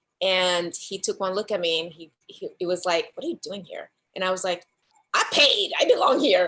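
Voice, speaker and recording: A speaker with a Spanish accent shows big swings in loudness. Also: woman, moderate pace. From Dominican Republic. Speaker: actress and filmmaker. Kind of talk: casual interview chat. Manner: soft-spoken; animated.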